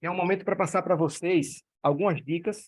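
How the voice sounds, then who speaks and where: A man speaks in a northeastern Brazilian accent. He keeps a moderate pace. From Northeast Brazil. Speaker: direct-sales network leader. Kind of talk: online meeting presentation. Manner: animated.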